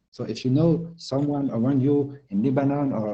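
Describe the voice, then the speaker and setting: This man has a French accent, a dark, mellow tone that is somewhat breathy, a medium pitch and ordinary pitch variation. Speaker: tech company co-founder. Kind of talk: presentation. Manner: halting, many fillers and repeats.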